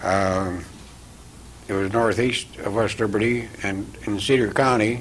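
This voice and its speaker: A man with a US Midwestern accent and fairly low pitch, with audible room echo. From eastern Iowa, US Midwest. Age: 80s+. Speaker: TV host. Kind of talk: interview. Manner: halting.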